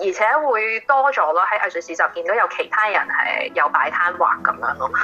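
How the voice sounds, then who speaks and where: A woman speaks with a fairly high pitch and very wide pitch swings, barely pausing at all. Noticeable background noise runs under her voice. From Hong Kong. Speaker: artist and yoga teacher. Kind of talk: interview. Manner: hesitant with many fillers.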